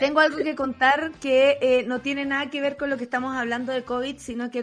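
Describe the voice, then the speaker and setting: A woman in a Chilean accent speaks at a fairly quick pace in a high pitch with an animated tone. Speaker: radio host. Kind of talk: casual chat.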